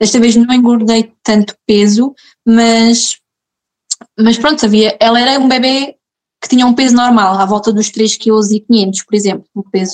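In a plain, everyday voice, a woman speaks at a fairly slow pace and a fairly high pitch with fairly even intonation, the sound dry and close with no echo. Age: 20s. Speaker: mother sharing birth story. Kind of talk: personal testimony in casual interview.

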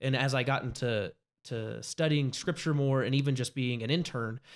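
The voice is a man's, fairly high in pitch. His pitch varies in an ordinary way on a very clean recording with a silent background. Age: 20s. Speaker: youth pastor. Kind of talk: interview. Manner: halting.

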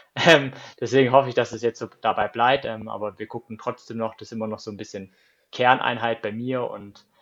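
Monotone, flat intonation at a fairly quick pace over a quiet background. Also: man. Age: 30s. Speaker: marathon runner. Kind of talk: casual interview.

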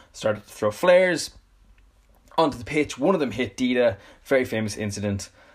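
A man speaks at a fairly quick pace with a Dublin accent, leaving long, frequent pauses. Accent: Dublin Irish. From Dublin, Ireland. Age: 20s. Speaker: podcast host and football coach. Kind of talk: solo podcast monologue.

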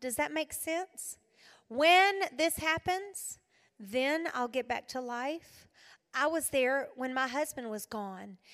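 A woman with a South Carolina accent, high in pitch, with an animated tone and lively intonation at a fairly slow pace. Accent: US Southern (South Carolina). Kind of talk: women's retreat talk.

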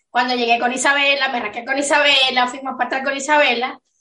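A woman uses a raised, projected voice at a high pitch, speaking at a moderate pace with fairly even intonation. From Venezuelan Andes. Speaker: podcast co-host. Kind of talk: casual chat.

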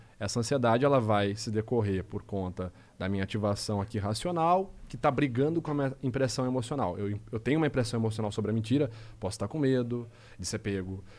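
Here is a man with a medium pitch and ordinary pitch variation. He talks at a fairly quick pace in a plain, everyday voice. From interior of São Paulo state, Brazil (Rio Claro). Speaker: body language and lie detection analyst. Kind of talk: casual podcast interview.

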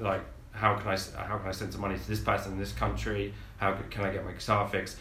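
A man talks very fast with vocal fry, his fairly low voice bright and sharp in tone. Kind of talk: casual chat. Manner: joking, irreverent.

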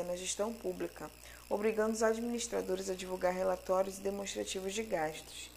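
Speaking at a fairly quick pace, a woman uses an unremarkable speaking voice. Her pitch sits in the medium range and varies in an ordinary way. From Manaus, Amazonas, Brazil. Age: 30s. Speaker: graduate student presenting coursework. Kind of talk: educational podcast lecture.

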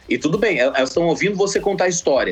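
Noticeable background noise surrounds this man's voice. His pitch varies in an ordinary way. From Mato Grosso, Brazil (Sinop). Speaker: comedian and video editor. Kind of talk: casual phone interview. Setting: phone call.

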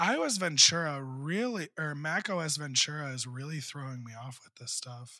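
Speaking at a fairly high pitch, a man uses a bright, sharp tone and lively intonation with big swings in loudness. His moderate pace has hardly any pauses, and the recording is very clean with a silent background. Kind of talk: casual chat.

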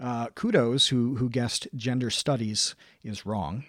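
A man with a medium-pitched voice speaks in an American accent with a plain, everyday voice, on a very clean recording with a silent background. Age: 30s. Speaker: online video creator. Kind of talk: casual chat.

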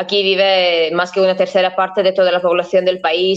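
Here a woman with a Latvian accent talks at a moderate pace with a medium pitch. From Latvia, Riga. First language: Latvian (speaking Spanish). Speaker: historian and tour agency owner. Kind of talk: interview.

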